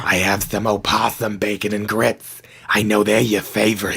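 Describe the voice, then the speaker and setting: A man's put-on character voice, raspy and fairly low in pitch, monotone and flat, at a moderate pace. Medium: audio drama. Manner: warm, reassuring.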